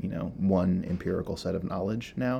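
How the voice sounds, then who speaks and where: A man with a dark, mellow tone speaks at a fairly low pitch with ordinary pitch variation. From US Midwest (Iowa and Minnesota). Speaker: sculptor and artist. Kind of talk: interview.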